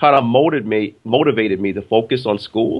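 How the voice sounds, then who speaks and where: A man with an American accent, medium pitch, ordinary pitch variation and a very fast pace. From Brooklyn, New York, then upstate New York. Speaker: business educator and author. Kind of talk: interview. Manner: halting, with repeated words.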